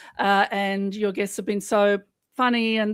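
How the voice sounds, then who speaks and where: A woman with an Australian accent. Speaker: journalist and podcaster. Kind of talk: casual chat.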